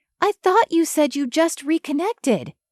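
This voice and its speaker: A female-sounding, put-on character voice squeaks at an extremely high pitch. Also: moderate pace. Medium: read story. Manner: blunt, protective.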